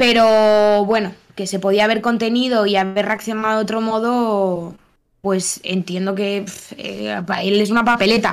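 At a fairly slow pace, a woman of medium pitch speaks in a monotone, flat intonation on a very clean recording with a silent background. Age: 30s. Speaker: podcast co-host. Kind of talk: casual chat.

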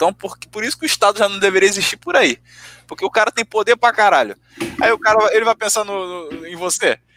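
Speaking very fast in a raised, projected voice, a man with a high pitch and ordinary pitch variation is heard in a dry, close recording with no echo, his loudness swinging widely. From Rio de Janeiro, Brazil. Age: 20s. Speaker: podcast guest. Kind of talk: casual chat.

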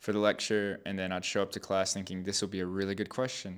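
This is an unremarkable speaking voice, captured in a very clean recording with a silent background. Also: man. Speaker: podcast co-host. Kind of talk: casual chat.

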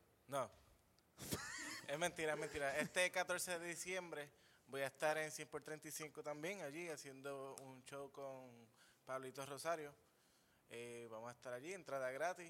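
At a moderate pace, a man with a fairly high pitch and a bright, sharp tone keeps his intonation fairly even and takes long, frequent pauses. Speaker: comedian. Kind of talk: casual chat. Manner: soft-spoken.

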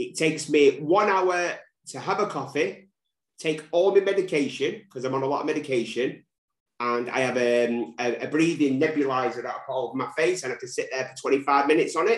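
At a fairly quick pace, a man with a Mancunian accent speaks in a fairly high voice with ordinary pitch variation. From Manchester. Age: 40s. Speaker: recovery social media creator. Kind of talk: casual interview. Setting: remote call.

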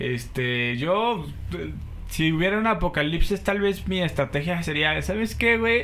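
A high-pitched man at a fairly slow pace, his pitch swinging very widely, amid noticeable background noise. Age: 20s. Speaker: podcast host. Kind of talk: casual chat. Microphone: poor audio quality.

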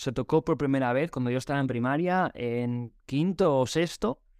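A man with a normal speaking voice, fairly high in pitch, speaks at a fairly slow pace with ordinary pitch variation on a very clean recording with a silent background. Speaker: teacher trainer. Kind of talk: casual interview.

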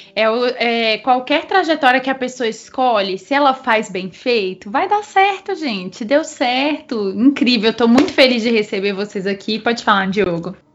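A woman's high-pitched, lively voice at a fairly slow pace, hardly any pauses, over noticeable background noise. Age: 20s. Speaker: podcast host, brass musician. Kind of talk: casual chat.

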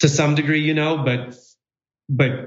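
The voice is somewhat breathy. Audible room echo surrounds it. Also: man. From former Soviet Union, moved to Milwaukee at 10. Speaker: real estate developer. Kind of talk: interview.

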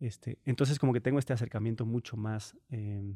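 Medium in pitch with a dark, mellow tone, a man speaks at a moderate pace with fairly even intonation. The very clean recording has a silent background and a dry, close sound with no echo. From central Mexico (Morelia, León, Guanajuato). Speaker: traveler and performing artist. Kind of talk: interview. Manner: halting.

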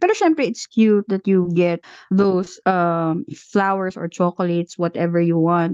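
A woman with an ordinary speaking voice talks at a fairly slow pace and medium pitch, with fairly even intonation, hardly any pauses, and a dry, close sound with no echo. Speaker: podcast co-host. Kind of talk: casual chat.

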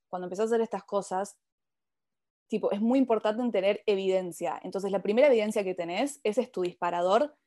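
A woman talks in an ordinary speaking voice at a medium pitch. Her pace is fairly quick, with ordinary pitch variation. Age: 20s. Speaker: spiritual coach. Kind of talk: casual interview.

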